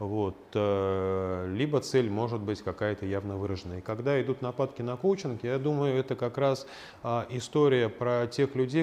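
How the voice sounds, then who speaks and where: Here a man speaks at a medium pitch in an ordinary speaking voice. His intonation is lively and his pace moderate. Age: 50s. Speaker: lecturer and existential psychologist, coach. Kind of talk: lecture with small audience Q&A. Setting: lecture room with small live audience and online chat.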